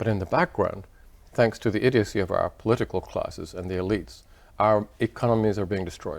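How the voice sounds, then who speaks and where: Very fast speech from a man with fairly low pitch and ordinary pitch variation, in a very clean recording with a silent background. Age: 70s. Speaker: health science expert. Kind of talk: interview.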